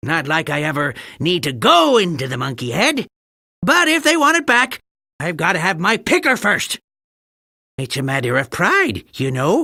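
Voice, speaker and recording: A cackling put-on character voice moves at a moderate pace with very wide pitch swings and long, frequent pauses. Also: man, high pitch for a man. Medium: video game. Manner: sarcastic, cackling.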